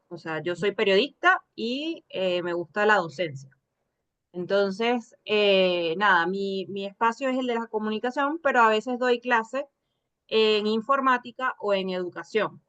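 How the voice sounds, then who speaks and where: In a Venezuelan accent, a woman with a fairly high pitch speaks at a fairly slow pace with lively intonation in a dry, close sound with no echo. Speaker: journalist and lecturer, course student. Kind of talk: class discussion.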